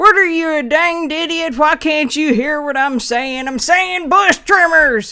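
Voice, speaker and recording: A put-on character voice speaks at a high pitch and a moderate pace. There are hardly any pauses. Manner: irate, impatient.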